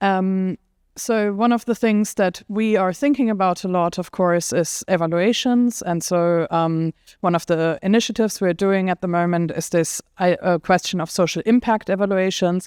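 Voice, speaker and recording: A woman talks at a moderate pace and a medium pitch with ordinary pitch variation. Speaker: AI policy lead and researcher. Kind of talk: panel discussion.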